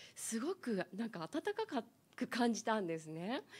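A somewhat breathy voice with very wide pitch swings, spoken at a moderate pace. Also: woman. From Niigata, Japan. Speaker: panel member. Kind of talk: panel discussion. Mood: warm, smiling, cheerful. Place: meeting room. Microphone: handheld.

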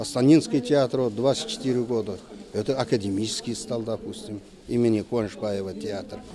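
Noticeable background noise sits behind a man speaking at a fairly slow pace. His pitch is medium, with ordinary variation. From southern Kazakhstan (Kentau). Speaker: theater critic and professor. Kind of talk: interview. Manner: halting, frequent filler sounds.

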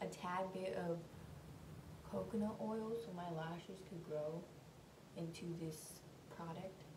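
A woman talks fairly slowly at a fairly low pitch with ordinary pitch variation, over noticeable background noise. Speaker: beauty vlogger. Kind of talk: casual get-ready-with-me vlog chat. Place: bathroom. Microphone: phone near.

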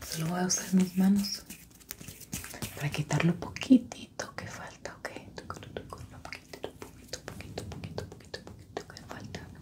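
At a moderate pace, the speech has long, frequent pauses and big swings in loudness. Noticeable background noise is present. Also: woman. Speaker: ASMR creator. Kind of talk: soft-spoken ASMR roleplay. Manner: soft, intimate ASMR whisper. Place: home room.

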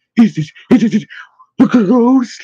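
A man puts on a character voice at an extremely high pitch, with a dark, mellow tone and a husky, rough edge. He goes at a fairly slow pace with lively intonation.

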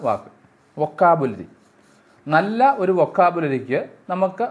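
His voice sits high in pitch. The man's intonation rises and falls in a lively way. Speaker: English grammar teacher. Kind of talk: lecture. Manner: halting.

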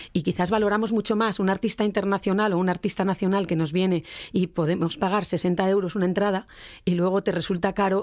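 The woman's pitch is medium and her intonation monotone and flat. She talks at a fairly quick pace on a very clean recording with a silent background. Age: 50s. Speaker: singer. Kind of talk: radio interview. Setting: radio studio.

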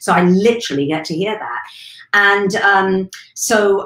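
There is audible room echo as a woman speaks in a fairly low pitch. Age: 50s. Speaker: weight management coach. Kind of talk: live stream monologue. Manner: animated. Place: home room.

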